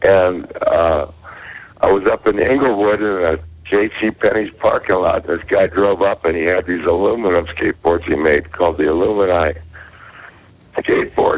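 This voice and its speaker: A man with an American accent at a moderate pace, very even in loudness, with noticeable background noise. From Southern California. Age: 60s. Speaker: caller. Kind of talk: casual chat.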